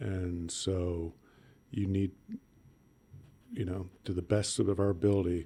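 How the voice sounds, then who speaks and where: The man's pitch is very deep and low, with a dark, mellow tone. He sounds somewhat breathy. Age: 60s. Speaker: emergency room physician. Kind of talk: casual chat.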